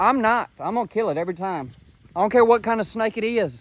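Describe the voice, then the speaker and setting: In a Mississippi accent, a man speaks at a high pitch with ordinary pitch variation. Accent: US Southern (Mississippi). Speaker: trapper. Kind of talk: outdoor vlog narration. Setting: outdoors, walking along a creek.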